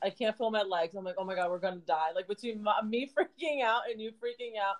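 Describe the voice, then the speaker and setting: Fairly high in pitch, a woman with a normal speaking voice shows ordinary pitch variation. She talks at a fairly quick pace with hardly any pauses. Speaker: podcast host. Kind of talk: casual chat. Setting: office cubicle.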